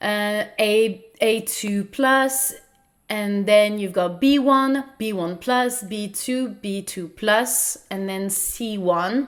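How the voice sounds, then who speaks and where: Speaking at a very slow pace with a non-native accent, a woman uses a fairly high pitch and ordinary pitch variation. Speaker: podcast host. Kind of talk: educational podcast talk. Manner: hesitant with fillers.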